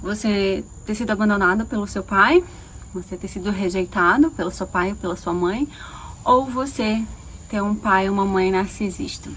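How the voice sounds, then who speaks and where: A woman with a normal speaking voice, medium pitch and ordinary pitch variation. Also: moderate pace. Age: 30s. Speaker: holistic therapist and coach. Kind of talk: personal video monologue.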